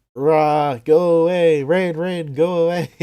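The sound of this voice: A man's put-on character voice, high in pitch, gravelly and croaky, with fairly even intonation at a fairly slow pace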